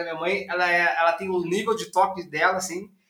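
This man's voice is pitched high. He moves along at a fairly quick pace. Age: 30s. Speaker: entrepreneur. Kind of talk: interview. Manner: fast.

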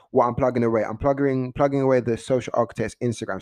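A very fast, animated man with a medium pitch and ordinary pitch variation, over a quiet background. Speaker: podcast host, music industry blogger. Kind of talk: casual solo monologue. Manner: hesitant, lots of fillers.

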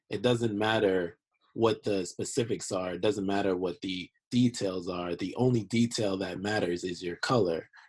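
At a moderate pace, an unremarkable speaking voice carries fairly even intonation. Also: man, fairly low pitch for a man. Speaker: podcast panelist. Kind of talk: casual chat.

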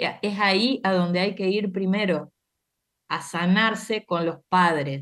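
A woman speaking very slowly, with ordinary pitch variation. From Argentina, Santa Fe. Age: 50s. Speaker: astrologer. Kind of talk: interview explanation.

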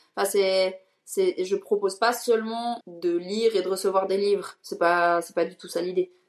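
A woman with a normal speaking voice talks at a fairly slow pace and medium pitch. Her intonation is fairly even, but her loudness shows big swings. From Switzerland. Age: 20s. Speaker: event entrepreneur and content creator. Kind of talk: interview.

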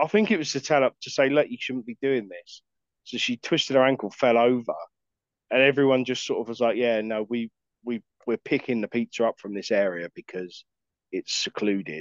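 Delivered at a fairly quick pace with an English accent, the speech has ordinary pitch variation and big swings in loudness. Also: man, medium pitch for a man. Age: 30s. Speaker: podcast co-host. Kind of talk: casual chat.

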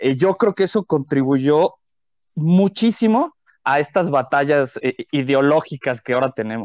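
In a quiet background, a man with a normal speaking voice talks at a fairly slow pace in a fairly high pitch, his intonation lively and the sound dry and close with no echo. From Mexico City. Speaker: podcast co-host, comedian. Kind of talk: casual chat.

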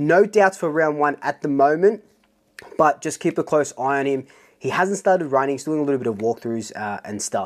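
Delivered fairly quickly, the speech comes in an Australian accent. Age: 30s. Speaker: football fan YouTuber. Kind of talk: solo vlog commentary. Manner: casual, energetic.

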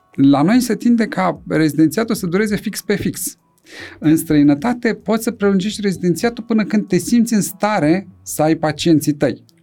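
A man with a high pitch and lively intonation speaks at a moderate pace over music in the background. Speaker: neurosurgeon. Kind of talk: casual chat.

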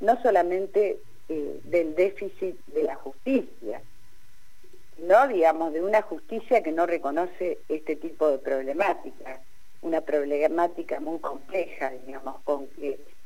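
A woman's dark, mellow voice, fairly low in pitch, at a fairly slow pace with lively intonation. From Argentina, Balcarce (Buenos Aires province). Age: 60s. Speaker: sociologist and feminist activist. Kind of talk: radio interview.

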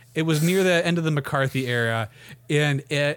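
A man speaks in a normal speaking voice, fairly high in pitch. His intonation is lively. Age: 30s. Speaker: sports podcast host. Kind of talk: casual chat.

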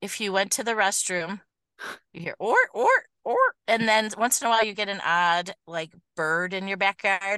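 With a Michigan accent, a woman speaks at a moderate pace in a bright, sharp tone at medium pitch. Long, frequent pauses break her speech, and the background is quiet. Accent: Midwestern US (Michigan). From Michigan, Detroit area. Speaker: schoolteacher. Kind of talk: casual chat. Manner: animated.

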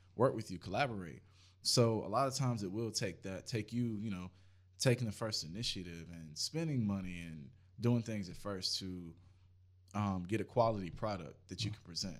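A man with a plain, everyday voice speaks at a moderate pace with a fairly low pitch, ordinary pitch variation and big swings in loudness, on a very clean recording with a silent background. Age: 20s. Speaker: photographer, videographer and musician. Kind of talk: casual chat.

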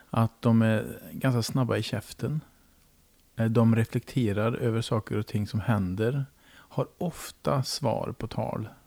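Speaking at a very slow pace, a man has a medium pitch and a dark, mellow tone. The sound is dry and close with no echo. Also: ordinary pitch variation, very clean recording, silent background. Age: 50s. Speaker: podcast host. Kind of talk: casual interview. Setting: home kitchen.

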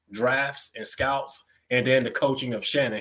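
A man with a medium pitch and a normal speaking voice, at a fairly slow pace. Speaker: football fan caller. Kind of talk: casual chat. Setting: video call.

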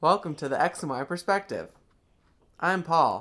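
Putting on a robotic character voice, a man talks at a fairly slow pace in a high pitch. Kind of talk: stiff, scripted greeting. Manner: mechanical monotone.

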